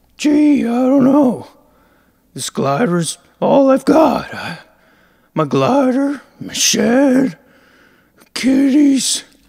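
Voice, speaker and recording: A put-on character voice with high pitch moves at a very slow pace, leaving long, frequent pauses. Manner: grouchy, profane, complaining.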